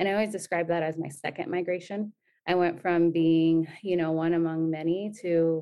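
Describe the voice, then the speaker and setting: A woman with a Californian accent talks at a moderate pace. Her pitch is fairly low and her intonation is monotone and flat. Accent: Californian American. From San Diego, Southern California. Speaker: nonprofit program manager. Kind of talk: interview.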